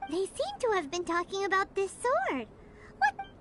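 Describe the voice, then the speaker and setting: This is a put-on character voice at an extremely high pitch, moving at a moderate pace. Clear background noise can be heard. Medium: video game. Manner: excitable.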